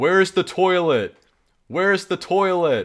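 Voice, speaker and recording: A loud, put-on character voice from a man, high-pitched, at a fairly slow pace, in a very clean recording with a silent background. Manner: loud, steady, spoken from the stomach.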